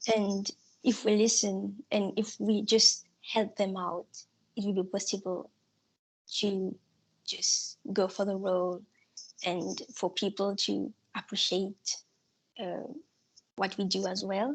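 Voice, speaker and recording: A woman with a non-native accent speaks very slowly in a medium pitch with monotone, flat intonation. She takes long, frequent pauses against a quiet background. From Mauritius. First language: not English. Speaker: student election candidate. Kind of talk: election hustings answer.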